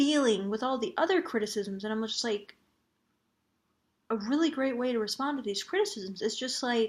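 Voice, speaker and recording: Soft-spoken and fairly high in pitch, a woman talks at a moderate pace with ordinary pitch variation. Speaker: vlogger. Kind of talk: casual vlog monologue.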